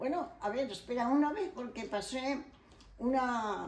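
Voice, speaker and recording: A woman talks at a fairly slow pace in a high voice with ordinary pitch variation. Audible room echo and noticeable background noise come through. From Spain, León province. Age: 80s+. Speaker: elderly interviewee sharing life memories. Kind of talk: oral history interview.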